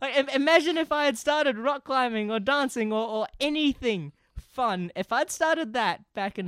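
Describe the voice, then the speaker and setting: With a New Zealand accent, a man talks at a moderate pace with lively intonation and hardly any pauses in a dry, close sound with no echo. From New Zealand, Auckland. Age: 20s. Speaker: podcast guest. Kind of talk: casual chat.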